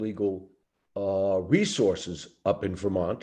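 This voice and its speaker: A man with a Brooklyn accent speaks at a fairly slow pace in a fairly low voice. His tone is dark and mellow against a quiet background. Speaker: lawyer. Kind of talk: Q&A answer on a training call.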